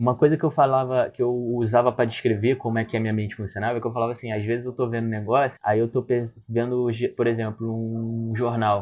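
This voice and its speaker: Very fast male speech at a medium pitch, in a Rio de Janeiro accent. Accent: Carioca Brazilian Portuguese. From Rio de Janeiro, Brazil. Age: 20s. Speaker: former film student, podcast guest. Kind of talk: casual conversation. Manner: animated.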